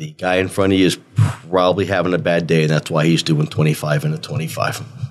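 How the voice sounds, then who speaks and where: This man's voice is very deep and low, with very wide pitch swings and hardly any pauses. He talks at a moderate pace over noticeable background noise. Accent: American. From North Jersey, near New York City. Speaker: former detective turned real estate agent. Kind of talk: casual storytelling chat.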